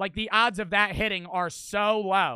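A man's raised, projected voice, high in pitch, bright and sharp in tone, animated, at a moderate pace, with a dry sound with no echo and a quiet background. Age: 20s. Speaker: streamer. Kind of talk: casual storytelling monologue. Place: home room. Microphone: studio mic.

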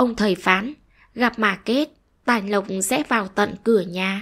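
A woman's gentle, soothing tone, fairly high in pitch, very slow in pace, with ordinary pitch variation. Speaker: story narrator. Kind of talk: short story reading.

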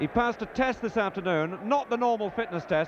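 A man speaks at a fairly quick pace with lively intonation, his voice dry with no echo over noticeable background noise. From England. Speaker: sports commentator. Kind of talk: live football match commentary. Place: stadium. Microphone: handheld.

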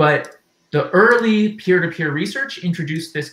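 A man is speaking. Audible room echo can be heard. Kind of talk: lecture. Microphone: headset.

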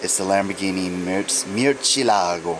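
A man talks very slowly while noticeable background noise fills the recording. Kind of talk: casual haul show-and-tell. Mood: enthusiastic. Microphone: phone near.

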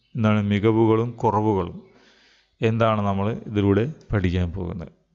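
A man's normal speaking voice, fairly low in pitch, with fairly even intonation and a quiet background. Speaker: Arabic teacher. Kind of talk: online class lecture.

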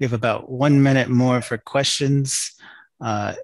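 A man talks at a moderate pace. The sound is dry with no echo, and the background is quiet. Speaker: workshop moderator. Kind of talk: meeting moderation. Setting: video call. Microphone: video call.

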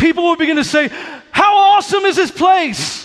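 Speaking at a moderate pace, a man with an extremely high pitch delivers his lines in an animated, energetic tone. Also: quiet background. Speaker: pastor. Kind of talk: sermon. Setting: church with live congregation. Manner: animated, exhortative, energetic preaching with crowd prompts; urgent, fervent, building to an altar call. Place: church. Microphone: headset.

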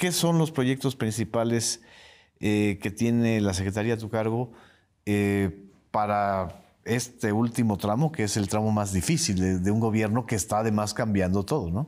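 Against a quiet background, a man talks at a fairly low pitch and fairly slow pace with ordinary pitch variation. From Yucatán, Mexico. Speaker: interviewer host. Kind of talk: formal interview. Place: studio. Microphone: lapel.

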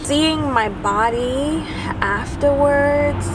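The recording of this woman's voice sounds dry with no echo. Noticeable background noise sits behind her. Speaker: mother vlogger. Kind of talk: casual vlog chat. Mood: earnest, personal, a bit emotional. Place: car.

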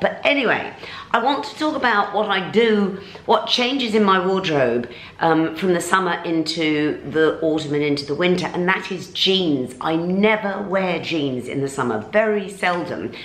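A woman talks at a moderate pace, and room echo can be heard around her voice. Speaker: fashion vlogger. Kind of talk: casual vlog chat. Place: home room. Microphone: camera far.

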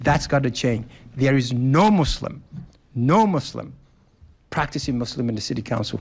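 The voice is somewhat breathy and moves at a moderate pace. Long pauses come often. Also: man, medium pitch for a man, lively intonation. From West Africa. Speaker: political candidate. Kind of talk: political debate. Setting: stage with audience.

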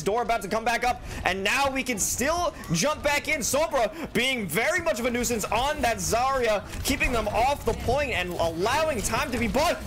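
Noticeable background noise sits behind a man with an extremely high pitch. His tone is energetic and his intonation lively. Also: hardly any pauses. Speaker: esports caster. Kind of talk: esports play-by-play commentary. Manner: fast, energetic. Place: studio.

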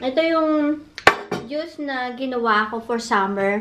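There is noticeable background noise behind a woman's voice. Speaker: vlogger. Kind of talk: casual eating vlog chat. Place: home room. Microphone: phone near.

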